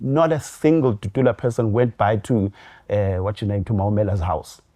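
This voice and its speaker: A man speaks at a fairly quick pace against a quiet background, his medium-pitched voice dark and mellow, somewhat breathy, with ordinary pitch variation. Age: 40s. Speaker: DJ. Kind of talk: casual interview chat. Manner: hesitant, many fillers.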